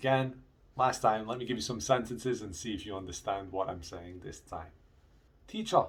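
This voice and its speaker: With a slight Scottish accent, a man talks at a moderate pace in a medium pitch, sounding somewhat breathy. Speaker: English teacher. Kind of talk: video lesson for students. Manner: casual, conversational.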